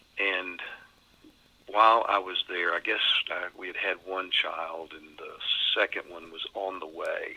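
Noticeable background noise behind a man with an American accent, moderate in pace. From Texas, Beaumont. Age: 60s. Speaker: pastor. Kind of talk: interview.

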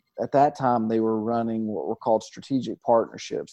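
With an American accent, the speaker has an unremarkable speaking voice and fairly even intonation. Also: man. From Georgia, US South (near Atlanta). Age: 30s. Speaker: pastor. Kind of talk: interview.

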